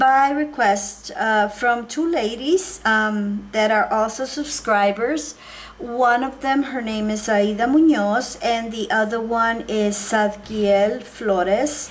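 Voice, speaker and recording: A woman with a Spanish accent talks very slowly with hardly any pauses, fairly high in pitch with ordinary pitch variation, amid noticeable background noise and audible room echo. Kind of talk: tutorial. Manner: hesitant, many fillers.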